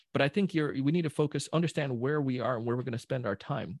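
Somewhat breathy and fairly high in pitch, a man talks at a very fast pace with lively intonation, the sound dry and close with no echo. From Jamaica. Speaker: sales trainer. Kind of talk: casual chat. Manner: animated.

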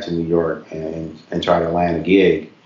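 A man with an American accent and a very deep, low pitch, plus audible room echo and noticeable background noise. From Tennessee, Knoxville, with time in Ohio. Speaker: author and caregiver advocate. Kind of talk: interview conversation. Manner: halting, with frequent fillers.

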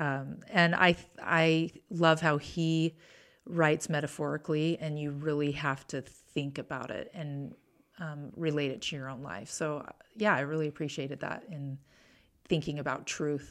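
A woman with an American accent speaks at a fairly slow pace in a very deep, low pitch with ordinary pitch variation, on a very clean recording with a silent background. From Utah. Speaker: former social worker. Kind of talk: interview conversation.

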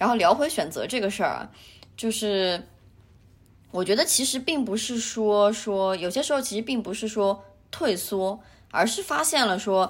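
The intonation is lively at a moderate pace, with long, frequent pauses. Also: woman, fairly high pitch for a woman. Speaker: podcast co-host. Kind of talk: casual chat.

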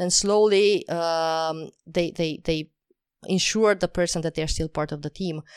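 A woman with a non-native accent speaks at a fairly low pitch in a monotone, flat way. The recording is very clean, with a silent background and a dry, close sound with no echo. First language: not English. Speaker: talent acquisition expert and podcast host. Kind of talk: interview.

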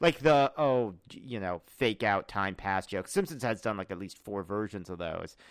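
A man with an American accent speaks at a moderate pace in a normal speaking voice, his fairly low pitch carried by lively intonation on a very clean recording with a silent background. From US South (Charlotte, North Carolina and Memphis, Tennessee). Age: 30s. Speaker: comedian and writer. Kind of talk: casual chat.

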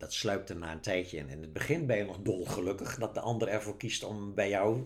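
A man speaks in an ordinary speaking voice at a fairly low pitch. His pitch variation is ordinary. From Netherlands, Zeeland. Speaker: author. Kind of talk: casual chat.

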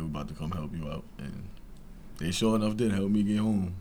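With a New York accent, a man talks at a very fast pace and with ordinary pitch variation. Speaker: college basketball player. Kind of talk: casual interview.

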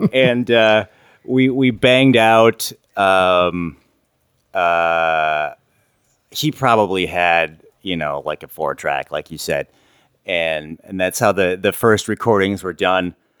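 A man with an Upper Midwest accent has a very deep, low pitch and ordinary pitch variation. He speaks very slowly, with long, frequent pauses. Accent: Upper Midwest American. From Wisconsin, Milwaukee. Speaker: musician. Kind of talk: casual chat. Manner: halting, many fillers.

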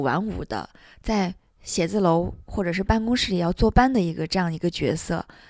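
A woman with a plain, everyday voice, medium pitch, ordinary pitch variation and a moderate pace, on a very clean recording with a silent background. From Turpan, Xinjiang, China. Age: 30s. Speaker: entrepreneur. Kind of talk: interview conversation.

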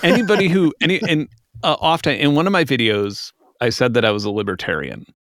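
A man speaks at a very fast pace in a fairly high voice with an American accent and vocal fry. His pitch swings very widely. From South Chicago, US. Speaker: musician and YouTuber. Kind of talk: casual chat.

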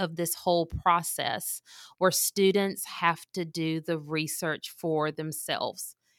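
In a very clean recording with a silent background and a dry, close sound with no echo, a woman speaks very slowly at a fairly low pitch with fairly even intonation. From Mississippi. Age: 40s. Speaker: college and career advisor, former English teacher. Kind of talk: interview, conversational.

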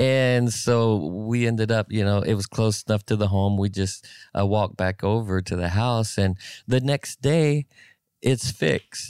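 In a very clean, dry and close recording with a silent background and no echo, a man with an unremarkable speaking voice talks fairly slowly at a fairly low pitch, with ordinary pitch variation and very even loudness. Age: 50s. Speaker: pastor. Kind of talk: casual chat.

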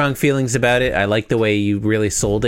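A passage is read aloud in a natural voice.

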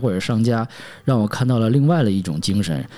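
With lively intonation, this man talks at a medium pitch in a dark, mellow tone. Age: 40s. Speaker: podcast host. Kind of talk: solo podcast monologue. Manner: casual, with filler words.

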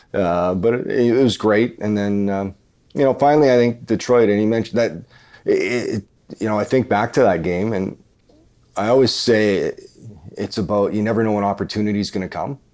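A man with a Canadian prairie accent talks at a fairly quick pace in a fairly low pitch, his intonation fairly even. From Canada, rural Manitoba. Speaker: retired hockey player and TV commentator. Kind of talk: casual chat.

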